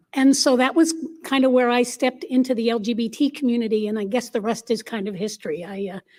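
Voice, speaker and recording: Speaking at a fairly quick pace, a woman has a plain, everyday voice that sits fairly high and shows ordinary pitch variation. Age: 60s. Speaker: LGBTQ activist panelist. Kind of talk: panel discussion.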